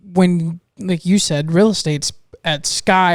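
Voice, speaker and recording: A man talks at a high pitch. His intonation stays monotone and flat. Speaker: podcast host. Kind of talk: casual podcast conversation.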